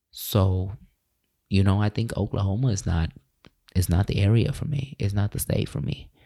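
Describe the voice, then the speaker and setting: A man with a fairly low pitch and a dark, mellow tone speaks somewhat breathily at a moderate pace, with ordinary pitch variation and long, frequent pauses. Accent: American. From California. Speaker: podcaster and mindfulness coach. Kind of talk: casual storytelling monologue.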